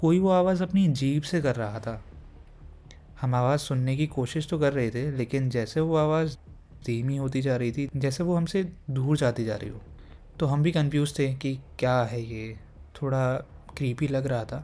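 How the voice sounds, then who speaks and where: A man speaks with a fairly high pitch, ordinary pitch variation, and a dark, mellow tone. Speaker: horror story narrator. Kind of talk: horror story narration. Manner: calm, conversational.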